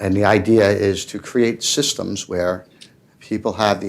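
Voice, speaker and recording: Fairly slow and fairly even in intonation, a man speaks with a New York accent. His pitch is fairly low. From New York City, Manhattan. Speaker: tech entrepreneur panelist. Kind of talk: panel discussion.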